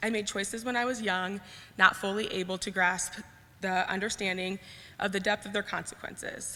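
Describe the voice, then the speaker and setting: A woman speaks at a medium pitch. Her intonation stays flat and monotone. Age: 20s. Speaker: public speaker sharing personal story. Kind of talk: personal talk, partly read from notes. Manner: fast.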